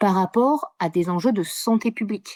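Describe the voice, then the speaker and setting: The voice belongs to a woman. The sound is dry and close with no echo, on a very clean recording with a silent background. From southern France, Mediterranean. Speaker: geographer. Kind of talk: interview. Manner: fast, with many hesitations.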